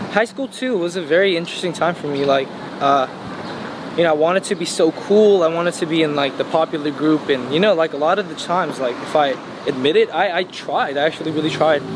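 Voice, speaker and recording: A man with an American accent, fairly high-pitched, with ordinary pitch variation and a very fast pace, over noticeable background noise. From Los Angeles, California. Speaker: singer. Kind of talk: casual interview. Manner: hesitant, many fillers.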